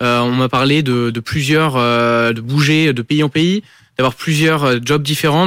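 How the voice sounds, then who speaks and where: This man has an unremarkable speaking voice at a medium pitch. His intonation stays fairly even, and the recording is very clean with a silent background. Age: 20s. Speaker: engineering student. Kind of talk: interview.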